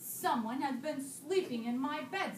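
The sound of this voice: At a moderate pace, a woman uses a put-on character voice pitched high, with a slight echo.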